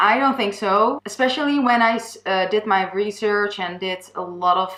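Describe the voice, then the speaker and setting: A woman with a Dutch accent speaks at a fairly slow pace, with a medium pitch and ordinary pitch variation. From Netherlands. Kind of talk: personal testimony vlog. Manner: halting, with fillers and false starts.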